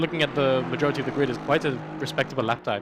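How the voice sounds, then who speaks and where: Noticeable background noise runs under this clip. A man speaks very fast in a fairly high pitch. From Malta. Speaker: sim racing co-commentator. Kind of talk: live commentary.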